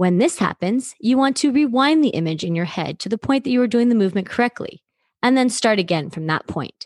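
Her pitch swinging very widely, a woman speaks at a fairly quick pace in a dry, close recording with no echo. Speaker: sports psychology coach. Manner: instructional and clear.

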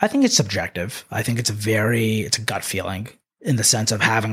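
An ordinary speaking voice from a man with an American accent, medium in pitch, fairly quick, with fairly even intonation. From Northern Virginia, US. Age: 20s. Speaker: manufacturing business owner. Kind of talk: podcast interview. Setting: studio.

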